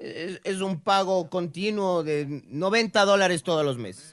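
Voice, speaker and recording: The voice has lively intonation and an animated tone. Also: man. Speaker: sports radio co-host. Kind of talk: casual comedic radio chat. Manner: animated, joking.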